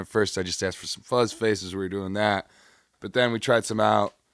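In a very clean recording with a silent background, a man with an American accent has a normal speaking voice, fairly low pitch and fairly even intonation. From US Midwest (Chicago). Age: 20s. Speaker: guitarist and producer. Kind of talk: casual chat.

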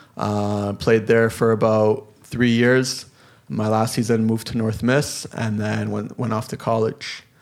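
In a Canadian accent, a man talks at a medium pitch with monotone, flat intonation. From Toronto, Canada. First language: Polish. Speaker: semi-pro soccer player and college student. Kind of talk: casual interview.

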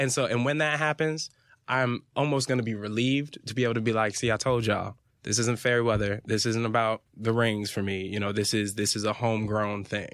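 A man with a plain, everyday voice, medium pitch, a fairly quick pace and fairly even intonation, on a very clean recording with a silent background. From Fort Lauderdale, Florida. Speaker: actor and DJ. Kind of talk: casual interview.

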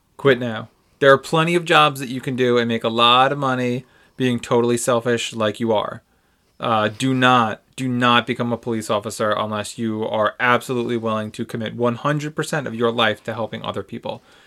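In an animated tone, a man talks at a fairly quick pace. His pitch is medium. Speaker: co-host. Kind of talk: casual chat. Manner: sarcastic, animated.

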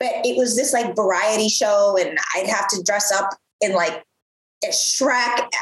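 A woman with an American accent and an unremarkable speaking voice talks at a fairly slow pace, her fairly high pitch showing ordinary variation and her loudness very even. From US Midwest. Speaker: entrepreneur, former TV presenter. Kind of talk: interview, casual chat.

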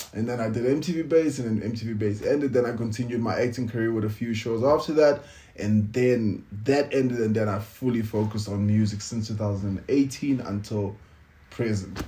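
Moderate pace and fairly even intonation from a man at medium pitch, his tone dark, mellow and somewhat breathy. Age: 30s. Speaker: podcast co-host, TV presenter, actor and musician. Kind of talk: casual chat. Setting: home recording with lapel mics.

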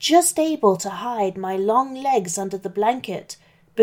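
A natural reading voice moves with lively intonation.

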